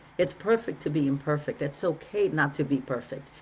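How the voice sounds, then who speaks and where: Her voice sits very deep and low for a woman. A woman speaks with lively intonation. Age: 60s. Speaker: relationship coach. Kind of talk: interview conversation. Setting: podcast.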